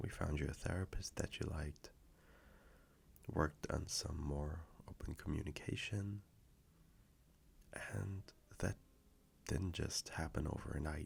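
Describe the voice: A man's put-on character voice, extremely low in pitch with vocal fry, fairly even intonation, a slow pace and long, frequent pauses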